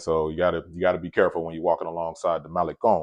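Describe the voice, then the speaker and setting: A man with an American accent talks at a very fast pace in a very deep, low voice, his intonation fairly even against a quiet background. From US South, Atlanta. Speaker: travel vlogger. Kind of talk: casual storytelling vlog. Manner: casual, many fillers and repetitions.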